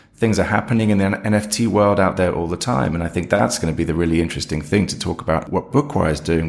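With ordinary pitch variation, a man speaks in a very deep, low pitch. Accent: British. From Britain. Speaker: head of audio, co-host. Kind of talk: casual podcast discussion. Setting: remote recording.

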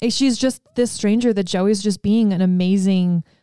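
The voice has a dark, mellow tone and ordinary pitch variation at a moderate pace. The sound is dry and close, with no echo. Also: woman. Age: 30s. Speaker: podcast co-host. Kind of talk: casual chat.

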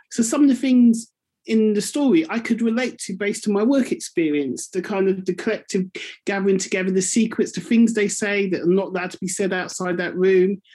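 Her voice has a dark, mellow tone, somewhat breathy, at a medium pitch with ordinary pitch variation. She speaks at a fairly quick pace on a very clean recording with a silent background. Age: 40s. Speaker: community radio presenter. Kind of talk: book club discussion.

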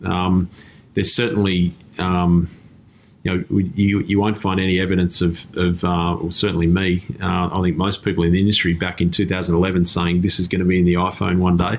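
Speaking at a moderate pace with an Australian accent, a man has a very deep, low pitch, monotone, flat intonation and very even loudness. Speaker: tech company CEO. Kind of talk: interview. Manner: halting, many repeated words.

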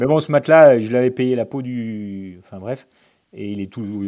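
A man with a dark, mellow tone speaks at a fairly slow pace, his pitch varying in an ordinary way. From Lyon, France. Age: 40s. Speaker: amateur ultra-distance cyclist, electrical business owner. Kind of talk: casual chat. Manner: calm.

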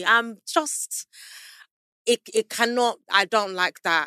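A woman uses a raised, projected voice with a bright, sharp tone. The sound is dry and close, with no echo. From South London. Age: 20s. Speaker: musician and media personality. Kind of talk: casual chat.

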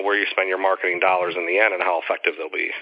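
A man is talking, and noticeable background noise can be heard throughout. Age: 40s. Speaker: legal marketing consultant and attorney. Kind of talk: interview.

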